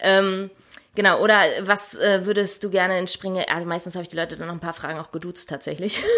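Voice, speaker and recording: In a monotone, flat intonation, a woman with medium pitch talks at a fairly quick pace. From Hannover region, Lower Saxony. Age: 30s. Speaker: deacon. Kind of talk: interview. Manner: hesitant, many fillers.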